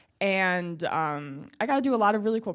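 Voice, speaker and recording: With lively intonation and a medium pitch, a woman speaks in an ordinary speaking voice at a moderate pace, in a very clean recording with a silent background. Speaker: student entrepreneur. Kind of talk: panel discussion.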